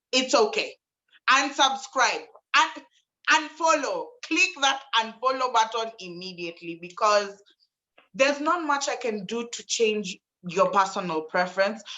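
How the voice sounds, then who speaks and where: Loud and animated, a woman with a fairly high pitch speaks at a fairly slow pace, her pitch swinging very widely. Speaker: media personality. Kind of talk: live panel discussion.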